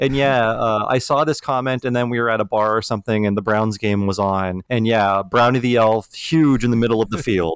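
With an ordinary speaking voice at medium pitch, a man talks at a fairly quick pace with hardly any pauses, fairly even intonation and very even loudness. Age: 40s. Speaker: podcast host. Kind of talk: casual chat. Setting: remote recording, temporary setup.

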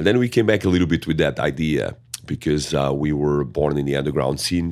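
At a fairly quick pace, a man with a very deep, low voice talks in a strong Portuguese accent. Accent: thick Portuguese-accented English. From Portugal. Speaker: metal band singer. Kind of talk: interview. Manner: halting, many fillers.

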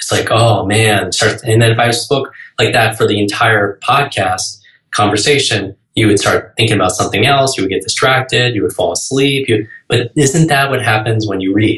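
With an American accent, a man talks at a medium pitch with ordinary pitch variation. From New York. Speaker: speed-reading coach. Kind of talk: podcast interview. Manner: fast.

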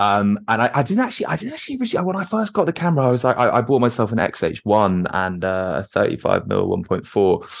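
In a London accent, a man talks at a very fast pace with hardly any pauses. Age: 20s. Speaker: composer and street photographer. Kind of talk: casual interview.

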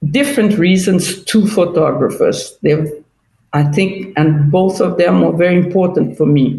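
Somewhat breathy, with a dark, mellow tone and medium pitch, a woman speaks at a fairly slow pace with ordinary pitch variation. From Brazil. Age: 60s. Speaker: photographer. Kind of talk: interview.

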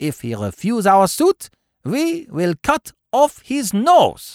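On a very clean recording with a silent background, a man uses a put-on character voice, high in pitch, slow in pace, with very wide pitch swings.

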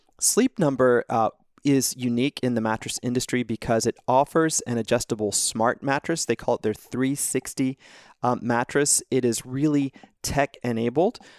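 A man with a plain, everyday voice speaks at a moderate pace, medium in pitch with fairly even intonation. The recording is very clean with a silent background and a dry, close sound with no echo. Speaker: financial analyst guest. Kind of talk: casual chat about stocks.

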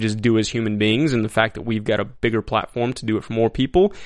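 A man speaks in an ordinary speaking voice at a medium pitch, with fairly even intonation. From Texas, El Paso. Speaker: actor. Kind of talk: casual interview. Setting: studio.

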